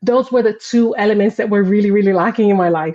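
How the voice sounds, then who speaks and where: A woman's medium-pitched voice with a Brazilian accent and fairly even intonation. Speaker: parenting coach and former teacher. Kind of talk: casual livestream interview. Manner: hesitant, many fillers.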